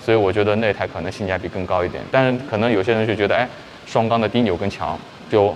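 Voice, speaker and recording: A man with an unremarkable speaking voice, fairly low in pitch, ordinary pitch variation, a fairly quick pace and light background noise. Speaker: vlogger showing motorcycles. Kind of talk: casual vlog chat. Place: shop.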